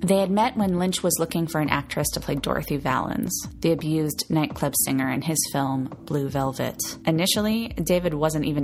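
A woman with a very deep, low voice talks fairly quickly with hardly any pauses and ordinary pitch variation, against noticeable background noise. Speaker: podcast host. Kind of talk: scripted narration.

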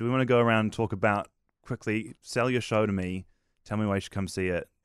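In a very clean recording with a silent background, a man with a New Zealand accent speaks fairly quickly at a fairly low pitch, with ordinary pitch variation. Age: young. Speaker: podcast host. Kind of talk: casual chat. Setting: studio.

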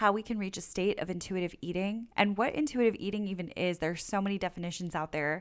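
Speaking fairly quickly, a woman with an ordinary speaking voice holds a medium pitch with ordinary variation. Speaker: podcast host. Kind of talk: interview, friendly casual chat. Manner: warm, upbeat.

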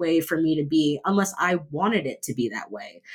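A woman speaks at a moderate pace with a normal speaking voice. Her pitch varies in an ordinary way. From Miami Beach, Florida, US. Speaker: podcast guest. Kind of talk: interview testimony.

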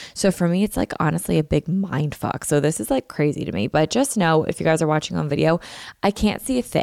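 The background is silent and the recording very clean as this woman talks in a very deep, low voice. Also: very even loudness. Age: 20s. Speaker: podcast host. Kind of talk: casual solo vlog-style chat. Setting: home recording. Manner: chatty, filler-heavy (like).

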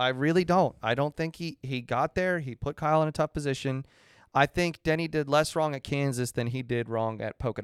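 This man has an unremarkable speaking voice, fairly high in pitch with ordinary pitch variation, talking at a fairly quick pace in a very clean recording with a silent background. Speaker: podcast co-host.

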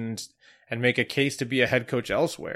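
The background stays quiet. Speech comes at a fairly quick pace. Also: man. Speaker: soccer journalist and podcast co-host. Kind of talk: casual chat. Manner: loud.

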